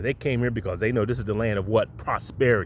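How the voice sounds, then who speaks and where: A man's somewhat breathy voice in an animated tone. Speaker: video podcast host. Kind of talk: monologue rant to camera. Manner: animated, stuttering from excitement.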